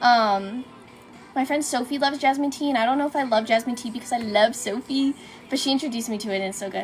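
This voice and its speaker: Very fast speech from a high-pitched woman, with music in the background. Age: 20s. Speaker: cosplay livestreamer. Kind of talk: casual chat. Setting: livestream. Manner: animated.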